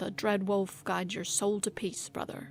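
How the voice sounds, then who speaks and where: A woman puts on a raspy character voice at a medium pitch, speaking at a moderate pace. Background noise is clearly audible. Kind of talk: formal, poetic.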